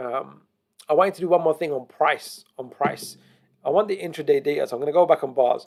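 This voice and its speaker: Speaking in an ordinary speaking voice, a man goes at a fairly quick pace with a fairly high pitch and ordinary pitch variation. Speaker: crypto trading analyst. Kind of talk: tutorial.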